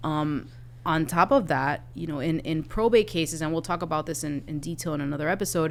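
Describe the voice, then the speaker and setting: With vocal fry and ordinary pitch variation, a woman speaks at a fairly quick pace in a very deep, low pitch. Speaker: estate planning lawyer and podcast co-host. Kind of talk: explanatory podcast conversation. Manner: fast; animated.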